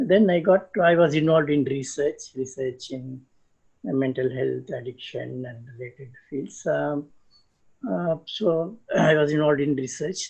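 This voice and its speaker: A somewhat breathy, fairly high male voice at a fairly slow pace, with ordinary pitch variation and big swings in loudness. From South India, Chennai. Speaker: psychiatrist, health organization head. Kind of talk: interview. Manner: hesitant, many fillers.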